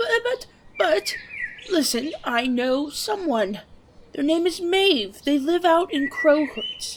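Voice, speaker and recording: In an extremely high, female-sounding put-on character voice, the pitch swings very widely. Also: fairly slow pace. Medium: machinima. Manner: evasive.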